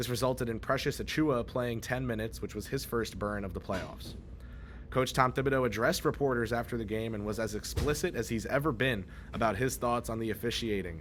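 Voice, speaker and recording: In a room with audible echo, a man at a medium pitch talks at a fairly quick pace with vocal fry and ordinary pitch variation. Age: 20s. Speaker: sports reporter. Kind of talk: on-site sports news report. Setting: on-site at an arena after a game.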